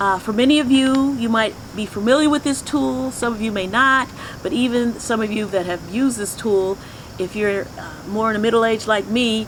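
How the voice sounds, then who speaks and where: A woman's fairly high voice at a moderate pace, ordinary pitch variation, and noticeable background noise. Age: 60s. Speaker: spiritual teacher. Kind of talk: teaching talk.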